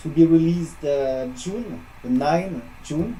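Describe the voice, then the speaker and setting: A man with a French accent talks at a fairly slow pace over noticeable background noise. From France. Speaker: metal musician. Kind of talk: interview. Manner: halting, many fillers. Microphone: echo.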